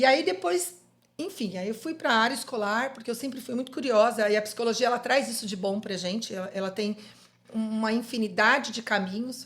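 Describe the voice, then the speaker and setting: A woman's fairly high, unremarkable speaking voice at a moderate pace with ordinary pitch variation. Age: 50s. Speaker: psychologist. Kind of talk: podcast interview.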